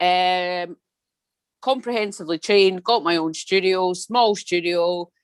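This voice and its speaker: With a Scottish accent, a woman speaks at a medium pitch and a fairly slow pace with fairly even intonation, the sound dry and close with no echo. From Scotland. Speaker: Pilates studio owner. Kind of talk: video call introduction.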